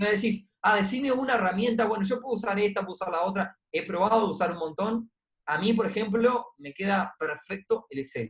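His pitch is high and shows ordinary variation. The man keeps a fairly quick pace. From Uruguay. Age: 30s. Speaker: investment club co-founder. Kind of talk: interview on personal finance.

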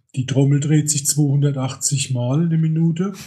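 Very slowly, a man speaks at a fairly high pitch with a somewhat breathy, dark, mellow tone and monotone, flat intonation. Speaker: camera repair technician. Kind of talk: casual interview chat.

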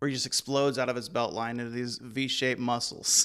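The recording is very clean, with a silent background. A man with a medium pitch speaks at a fairly quick pace in a bright, sharp tone with fairly even intonation. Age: 30s. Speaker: wrestling podcast co-host. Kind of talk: casual chat.

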